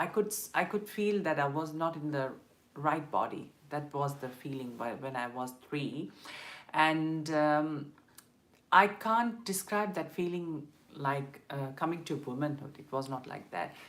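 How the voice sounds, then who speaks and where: With a very deep, low pitch and lively intonation, a woman talks at a fairly slow pace, her loudness swinging widely amid audible room echo. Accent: Tamil. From South India (Madurai, Tamil Nadu). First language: Tamil. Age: 20s. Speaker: LGBTQ rights activist and vlogger. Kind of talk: personal testimony on a live stream. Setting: live stream. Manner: hesitant, many fillers.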